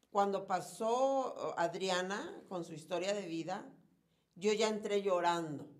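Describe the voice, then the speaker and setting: A woman at a very slow pace, big swings in loudness, audible room echo around her. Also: medium pitch for a woman, ordinary pitch variation. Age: 40s. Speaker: reality show contestant. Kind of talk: casual chat.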